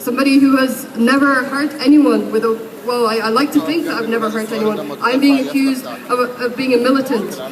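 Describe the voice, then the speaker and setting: Amid noticeable background noise and audible room echo, a woman speaks at a fairly quick pace, high in pitch with fairly even intonation. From Egypt. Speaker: protest speaker. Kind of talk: protest speech. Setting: outdoors at a street protest. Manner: impassioned.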